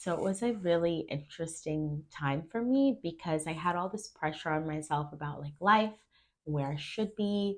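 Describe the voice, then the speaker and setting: An unremarkable speaking voice from a woman, fairly low in pitch, at a moderate pace with lively intonation, on a very clean recording with a silent background. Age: 30s. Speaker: actress and dancer. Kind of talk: interview conversation.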